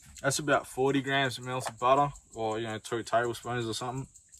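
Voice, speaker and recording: A man speaks in a bright, sharp tone with monotone, flat intonation. The sound is dry with no echo, and noticeable background noise. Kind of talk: cooking tutorial. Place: open country. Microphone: camera far.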